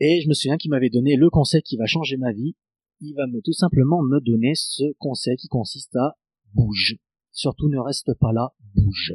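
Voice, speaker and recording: Against a quiet background, a man with a plain, everyday voice and a fairly high pitch speaks at a moderate pace with ordinary pitch variation. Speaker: guitarist. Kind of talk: casual chat.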